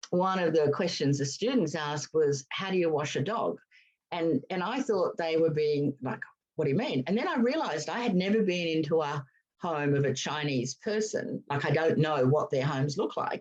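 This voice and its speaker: Her pitch very deep and low, a woman with an Australian accent talks at a moderate pace with lively intonation. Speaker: veterinary behaviourist. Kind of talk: casual chat.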